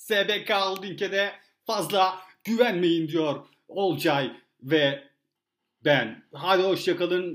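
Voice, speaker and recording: A high-pitched man at a very slow pace, with ordinary pitch variation, in a very clean recording against a silent background. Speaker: podcast host. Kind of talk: casual chat.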